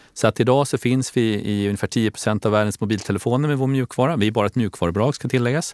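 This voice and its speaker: Speaking very fast at a medium pitch with ordinary pitch variation, a man comes across in a dry, close sound with no echo. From Stockholm, Sweden. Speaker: company CEO. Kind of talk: interview.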